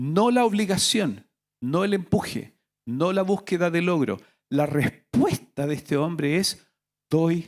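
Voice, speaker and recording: A man at a high pitch and a very slow pace, with lively intonation. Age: 60s. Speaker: pastor. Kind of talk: sermon.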